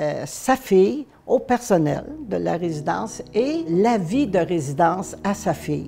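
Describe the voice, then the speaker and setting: With a Quebec accent, a woman speaks at medium pitch with very wide pitch swings. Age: 70s. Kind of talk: testimony. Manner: hesitant, many fillers.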